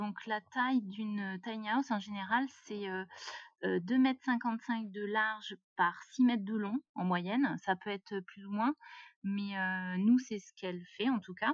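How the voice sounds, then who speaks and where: Here a woman's medium-pitched, somewhat breathy voice moves at a very slow pace. Her intonation is fairly even, while her loudness shows big swings. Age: 30s. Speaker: self-builder of a tiny house. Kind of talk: interview. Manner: hesitant, many fillers.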